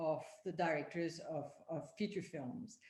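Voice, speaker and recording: Somewhat breathy and fairly low in pitch, a woman with a French accent speaks at a fairly slow pace with lively intonation, with audible room echo. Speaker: panel moderator. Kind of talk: panel discussion introduction. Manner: halting, many fillers.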